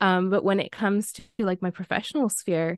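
A woman with a Canadian accent talks at a moderate pace in a plain, everyday voice, her pitch medium. The sound is dry and close with no echo, over a quiet background. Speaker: PR consultant. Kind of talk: panel discussion.

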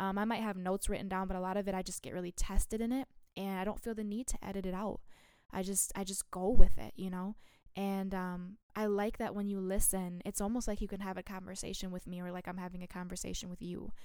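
On a very clean recording with a silent background, a woman talks at a very fast pace and medium pitch. Her intonation is monotone and flat, while her loudness swings widely. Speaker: solo podcast host. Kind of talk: casual monologue. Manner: unscripted, many fillers.

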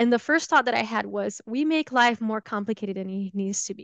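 A woman with a Brazilian accent and ordinary pitch variation, in a dry, close sound with no echo over a quiet background. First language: Portuguese. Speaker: holistic health coach and yoga teacher. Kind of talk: interview conversation.

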